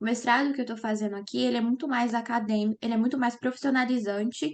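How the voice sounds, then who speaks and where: Here is a normal speaking voice at a fairly quick pace. The intonation stays fairly even. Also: woman. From Brazil, Minas Gerais. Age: 20s. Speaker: lawyer and master's student. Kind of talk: interview.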